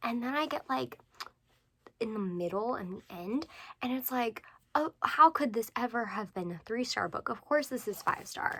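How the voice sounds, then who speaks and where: Soft-spoken and fairly high-pitched, a woman talks at a moderate pace with a bright, sharp tone and lively intonation. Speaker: book vlogger. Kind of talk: casual chat. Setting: bedroom at night.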